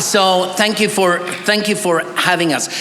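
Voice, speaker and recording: There is audible room echo and noticeable background noise. Through it, a man speaks at a high pitch. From Bolivia, missionary kid of Swedish family. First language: Swedish. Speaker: pastor and theology scholar. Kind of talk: academic conference presentation. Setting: church conference with audience.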